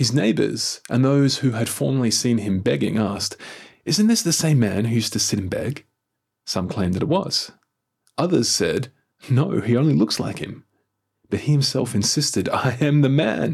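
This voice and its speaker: The voice has vocal fry and lively intonation. It carries an Australian accent. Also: man, medium pitch for a man. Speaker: church minister leading daily prayer. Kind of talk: formal scripture reading and liturgical prayer, solemn and devotional. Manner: measured, reverent, unhurried, even cadence; formal, intoned prayerful delivery.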